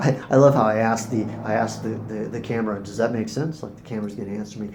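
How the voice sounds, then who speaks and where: Fairly quick male speech at a medium pitch, audible room echo around it. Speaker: spiritual teacher vlogger. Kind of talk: casual monologue to camera. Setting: recording to camera. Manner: fast when excited; hesitant, many fillers and repeats.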